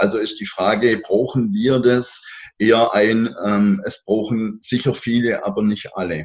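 An unremarkable speaking voice from a man, medium in pitch, at a fairly slow pace with fairly even intonation. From southern Germany. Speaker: outdoor education trainer. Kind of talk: interview.

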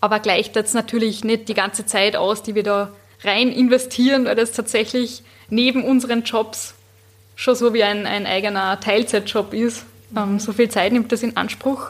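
A woman speaks with an Upper Austrian accent. Her pitch is fairly high and her intonation is monotone and flat. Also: moderate pace. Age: young. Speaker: podcaster and PR consultant. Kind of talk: casual interview chat.

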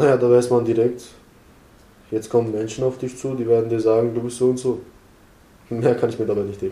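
The voice has a dark, mellow tone and flat, monotone intonation, moving at a fairly quick pace but broken by long, frequent pauses. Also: man, medium pitch for a man. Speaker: young person at a youth centre. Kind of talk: interview. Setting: youth centre. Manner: halting.

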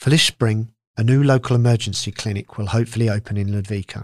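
A man speaks at a medium pitch with ordinary pitch variation, in a normal speaking voice. The recording is very clean with a silent background, and the sound is dry and close with no echo. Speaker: podcast presenter. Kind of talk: scripted news reading. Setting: studio. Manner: formal, clear.

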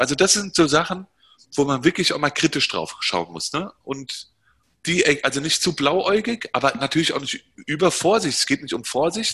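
Bright, sharp tone from a man with a fairly high pitch, lively intonation and a moderate pace. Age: 40s. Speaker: entrepreneur. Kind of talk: interview.

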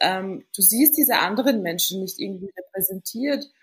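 A woman is speaking with ordinary pitch variation. Her voice is somewhat breathy. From Austria, Vienna. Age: 20s. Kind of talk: casual interview. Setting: remote call.

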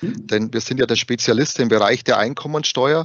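Speaking in a Bavarian accent, a man goes at a fairly quick pace with ordinary pitch variation. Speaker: HR recruiter at tax assistance association. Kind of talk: interview.

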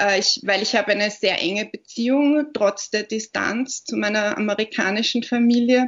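A woman talks at a moderate pace with hardly any pauses. Her pitch is fairly high and her intonation fairly even. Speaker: author and literary scholar. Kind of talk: interview. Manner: hesitant, many fillers.

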